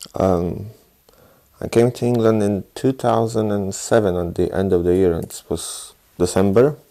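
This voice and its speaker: A Polish accent comes through in a dark, mellow tone. The pace is moderate and the pitch variation ordinary. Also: man, fairly low pitch for a man. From southeast Poland. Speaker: Polish immigrant interviewee. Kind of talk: interview.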